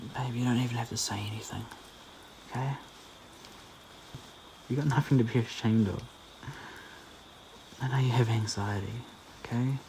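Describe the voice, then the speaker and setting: A man with a gentle tone talks at a fairly quick pace in a monotone, flat intonation, leaving long, frequent pauses over noticeable background noise. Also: medium pitch for a man. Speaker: audio roleplay performer (boyfriend character). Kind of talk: soothing comfort audio roleplay. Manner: soft, gentle, reassuring.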